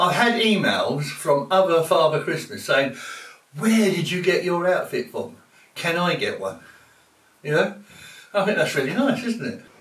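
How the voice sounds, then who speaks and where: With lively intonation and a high pitch, a man speaks at a moderate pace with long, frequent pauses, over noticeable background noise and audible room echo. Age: 70s. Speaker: Father Christmas performer. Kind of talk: casual interview.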